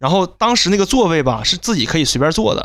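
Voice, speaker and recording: A man with a strong northeastern Chinese accent speaks with very wide pitch swings. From Northeast China. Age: middle-aged. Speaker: podcast co-host. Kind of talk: casual chat.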